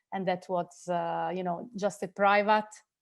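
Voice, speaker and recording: A woman with an Italian accent speaks at a fairly slow pace and medium pitch, her intonation monotone and flat over a quiet background. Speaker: film director. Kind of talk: interview. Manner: halting.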